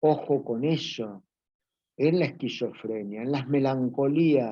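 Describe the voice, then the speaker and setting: Against a quiet background, a man talks at a very slow pace in a fairly high voice with a dark, mellow tone and ordinary pitch variation. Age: 60s. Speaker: psychoanalyst and teacher. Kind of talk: lecture. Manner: informal, conversational with fillers.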